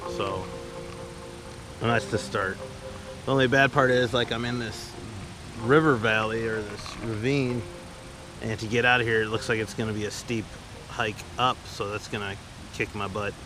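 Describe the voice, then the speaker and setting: Over music in the background, a man speaks at a moderate pace in a medium pitch, with ordinary pitch variation and long, frequent pauses. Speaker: solo backpacker vlogger. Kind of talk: casual vlog narration. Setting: outdoors at a campsite. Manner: quiet, hushed.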